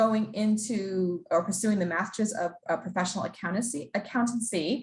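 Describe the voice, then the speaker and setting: A woman speaks with lively intonation at a medium pitch. Her voice is somewhat breathy. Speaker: program staff presenter. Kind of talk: information session presentation. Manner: fast.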